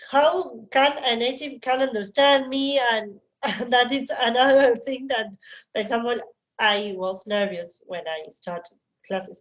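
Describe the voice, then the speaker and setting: In a Spanish accent, a woman talks with a high pitch. Her intonation is lively and her pace fairly slow. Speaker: psychologist. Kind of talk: interview.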